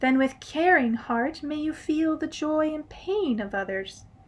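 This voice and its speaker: Soft-spoken and high-pitched, a woman does a put-on character voice with lively intonation at a fairly slow pace. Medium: read story. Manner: merry, soft and tender.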